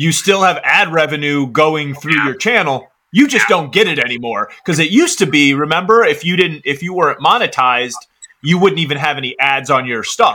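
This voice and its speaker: A man with a normal speaking voice talks at a fairly quick pace, his fairly high pitch carried by lively intonation. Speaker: podcast co-host, combat veteran. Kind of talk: casual podcast chat.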